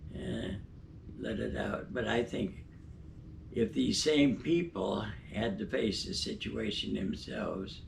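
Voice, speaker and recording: A man speaks at a very slow pace with long, frequent pauses. Audible room echo surrounds his voice. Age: 90s. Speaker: retired obstetrician. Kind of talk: interview. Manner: halting.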